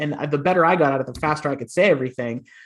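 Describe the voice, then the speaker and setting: The man has an unremarkable speaking voice, fairly high in pitch, with ordinary pitch variation. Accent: American. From western Pennsylvania, near Pittsburgh. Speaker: interview podcast host and writer. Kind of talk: interview conversation.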